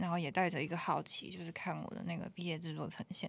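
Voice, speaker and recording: A woman talks at a very fast pace in a fairly low voice. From Taiwan, Taoyuan. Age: 20s. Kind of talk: casual chat. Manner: languid.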